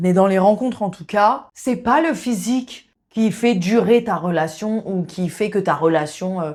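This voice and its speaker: On a very clean recording with a silent background, the speaker goes at a fairly slow pace. Pitch varies in an ordinary way. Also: woman. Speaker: sex therapist and video host. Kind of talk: casual monologue to camera. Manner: casual, hesitant with fillers.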